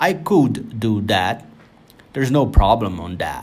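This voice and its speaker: In a Brazilian Portuguese accent, a man talks at a fairly slow pace with ordinary pitch variation. Audible room echo surrounds him. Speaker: software tutorial creator. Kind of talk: tutorial. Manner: halting, with repetitions.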